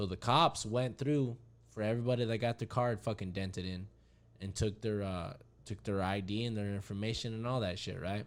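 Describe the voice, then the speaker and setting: In a very clean recording over a silent background, a man with an American accent uses a normal speaking voice, fairly low in pitch with ordinary pitch variation, at a fairly quick pace. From Arizona, Winkelman. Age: 20s. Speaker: podcast guest, friend of host. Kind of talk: casual chat.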